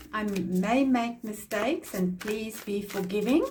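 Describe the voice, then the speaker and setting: Somewhat breathy, a woman speaks in a fairly high voice with an Afrikaans South African accent. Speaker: tarot reader and painter. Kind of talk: tarot reading.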